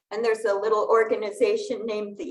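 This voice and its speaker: A woman's voice with audible room echo. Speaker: lay worship leader. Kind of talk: sermon. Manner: soft-spoken.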